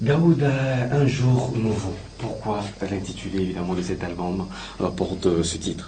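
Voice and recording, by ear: A man speaks at a moderate pace in a low, dark, mellow voice with ordinary pitch variation. Room echo is audible.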